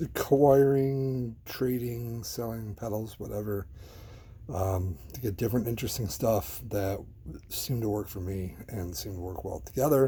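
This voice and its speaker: Soft-spoken and somewhat breathy, a man talks at a moderate pace in a medium pitch with a dark, mellow tone and ordinary pitch variation. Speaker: guitarist and gear enthusiast. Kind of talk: casual ASMR-style gear walkthrough to camera.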